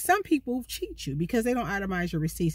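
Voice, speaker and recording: A woman speaks in a somewhat breathy voice, with a dry sound with no echo and a quiet background. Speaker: van life vlogger. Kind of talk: casual vlog storytime. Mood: annoyed, animated. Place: car. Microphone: phone near.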